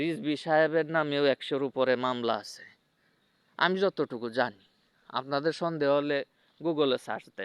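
A man with a normal speaking voice talks at a fairly high pitch, with ordinary pitch variation and big swings in loudness. The sound is dry and close with no echo, against a quiet background. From Bangladesh, Mymensingh district. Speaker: political commentator vlogger. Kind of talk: unscripted monologue. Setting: outdoors.

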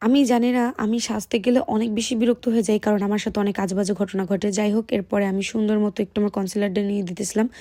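With a dark, mellow tone and fairly even intonation, a woman speaks at medium pitch in a very clean recording with a silent background. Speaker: vlogger. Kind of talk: vlog voice-over narration.

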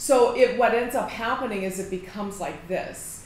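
Light background noise and audible room echo around a woman speaking. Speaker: mindset coach. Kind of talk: direct-to-camera coaching talk. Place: office. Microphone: phone near.

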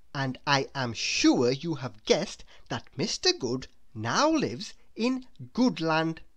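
The pitch swings widely while the words come at a slow pace. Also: woman, low pitch for a woman.

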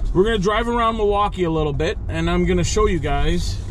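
Background noise is noticeable, and the sound stays dry, without echo. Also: man. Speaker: driver vlogger. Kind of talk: casual vlog chat. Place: car. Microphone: phone near.

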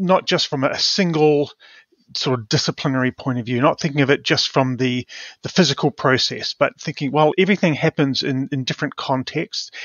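With a New Zealand accent, a man talks at a moderate pace with ordinary pitch variation. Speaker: professor of community resilience. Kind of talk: interview.

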